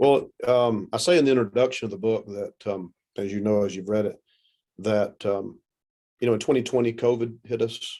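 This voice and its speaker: The voice has a Southern US accent, a dark, mellow tone and fairly even intonation. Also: man, medium pitch for a man, moderate pace. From US South, South Carolina. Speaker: pastor. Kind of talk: interview.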